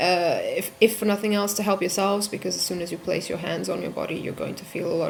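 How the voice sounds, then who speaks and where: Over noticeable background noise, a woman talks very fast with fairly even intonation. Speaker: vlogger. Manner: soft-spoken; halting.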